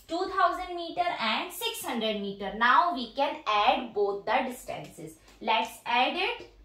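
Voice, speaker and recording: With audible room echo, a woman speaks in a raised, projected voice at a high pitch, very slowly, her pitch swinging very widely. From India. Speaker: teacher and educational YouTuber; teacher, educational YouTuber. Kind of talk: demo teaching tutorial. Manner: teacherly, explanatory.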